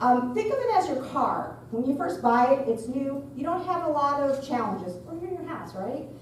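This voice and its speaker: The pitch swings very widely. There is noticeable background noise and audible room echo. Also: woman. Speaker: architect. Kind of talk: presentation at community meeting. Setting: school cafeteria with audience. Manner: loud.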